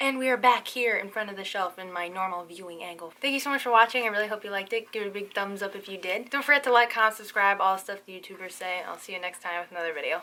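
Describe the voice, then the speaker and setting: Talking at a very fast pace with hardly any pauses, a woman sounds animated, her loudness swinging widely while her pitch varies in an ordinary way. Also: medium pitch for a woman. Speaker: booktuber. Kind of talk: casual vlog.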